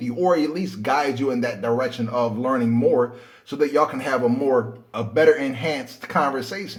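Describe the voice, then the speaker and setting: A man speaks with lively intonation at a moderate speed, noticeable background noise around him. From United States. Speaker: YouTuber and comedian. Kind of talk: casual vlog monologue. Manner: halting with repeated words.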